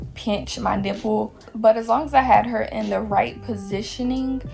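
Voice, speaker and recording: A woman speaks with music in the background. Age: 20s. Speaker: new mother, lifestyle vlogger. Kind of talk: casual talk to camera.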